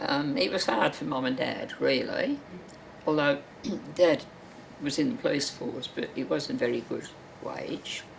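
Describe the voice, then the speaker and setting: A woman talks at a fairly slow pace, leaving long, frequent pauses. Noticeable background noise runs underneath. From Birmingham, England. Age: 80s+. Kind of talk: interview answer.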